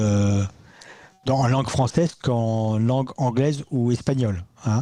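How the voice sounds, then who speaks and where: Speaking at a very slow pace, a man uses a medium pitch and a dark, mellow tone. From France. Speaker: ufology investigator. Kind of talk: interview. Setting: live radio show. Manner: halting.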